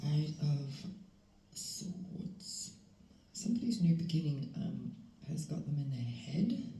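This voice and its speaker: The voice is somewhat breathy and moves at a very slow pace, with long, frequent pauses. Audible echo fills the room. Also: woman, fairly low pitch for a woman. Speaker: tarot reader. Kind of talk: tarot reading. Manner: halting, many fillers; soft-spoken. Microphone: volume problems.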